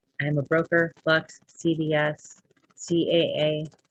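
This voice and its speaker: Somewhat breathy, a woman speaks at a fairly low pitch. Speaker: real estate broker and podcast host. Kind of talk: casual monologue. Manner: sometimes stutters; unscripted, halting.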